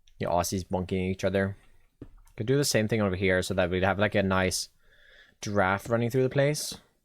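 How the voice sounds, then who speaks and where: With a slight Swedish accent, a man speaks at a fairly quick pace and fairly low pitch, with ordinary pitch variation and long, frequent pauses. The recording is very clean, the background silent. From Sweden. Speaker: Minecraft streamer. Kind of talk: live stream gameplay chat. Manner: casual, thinking aloud.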